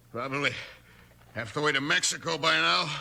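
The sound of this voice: Fairly quick and bright with a sharp edge, a man's put-on character voice sits at a fairly high pitch and carries vocal fry. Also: ordinary pitch variation.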